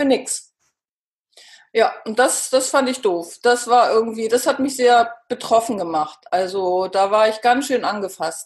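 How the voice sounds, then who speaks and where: Using an unremarkable speaking voice, a woman with a fairly high pitch and lively intonation speaks fairly slowly. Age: 50s. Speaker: author and cancer patient. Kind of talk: interview.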